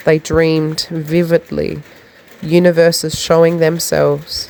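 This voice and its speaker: This woman has an Australian accent. Her pitch sits fairly low. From South Australia. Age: 20s. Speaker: poet. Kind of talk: poetry reading. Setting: recorded in the rain.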